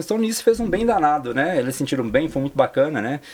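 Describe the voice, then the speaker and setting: A man with a fairly high pitch speaks at a fairly quick pace, his pitch swinging very widely. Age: 40s. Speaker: personal trainer and amateur sports organizer. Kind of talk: interview. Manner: halting, many fillers.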